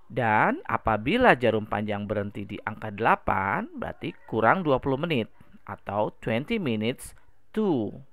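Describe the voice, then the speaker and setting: On a very clean recording with a silent background, the words come at a very slow pace. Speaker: English teacher. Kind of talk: reading aloud; lecture.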